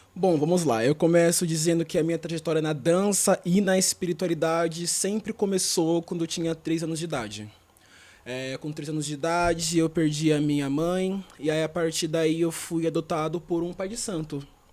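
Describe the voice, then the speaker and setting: A man talks at a moderate pace in a high pitch. His intonation stays fairly even. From Brazil, São Paulo (East Zone). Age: 20s. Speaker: dancer and performing artist. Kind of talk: interview.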